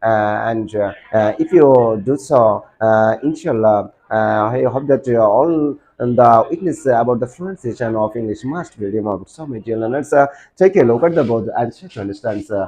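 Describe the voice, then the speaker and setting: With a Bangladeshi accent, a man speaks at medium pitch and a moderate pace, his loudness swinging widely and his pitch varying in an ordinary way. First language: Bengali. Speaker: English teacher. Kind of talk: tutorial. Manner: halting, many fillers.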